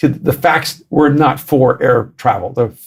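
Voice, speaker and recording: A man's somewhat breathy voice with ordinary pitch variation. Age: 60s. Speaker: author and pastor. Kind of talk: podcast interview.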